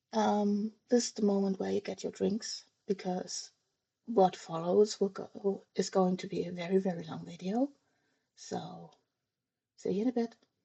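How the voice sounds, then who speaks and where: A woman speaks at a fairly slow pace in a somewhat breathy voice, keeping a fairly even intonation and leaving long, frequent pauses. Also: medium pitch for a woman. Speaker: planner craft youtuber. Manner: halting, many fillers.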